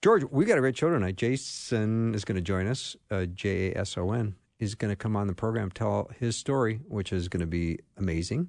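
A man with a plain, everyday voice, fairly low in pitch, with ordinary pitch variation, a moderate pace and a quiet background. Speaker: radio host. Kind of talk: casual chat. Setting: studio.

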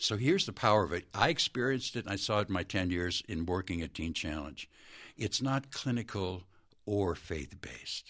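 Against a quiet background, a man with a very deep, low voice speaks with lively intonation. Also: moderate pace. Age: 60s. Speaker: former addiction ministry worker. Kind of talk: testimony.

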